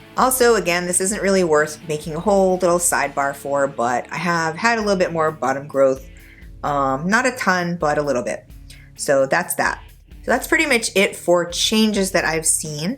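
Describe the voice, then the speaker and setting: With music in the background, a woman speaks at a fairly low pitch with lively intonation. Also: moderate pace. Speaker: nonbinary vlogger on low-dose testosterone. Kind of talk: casual talk to camera.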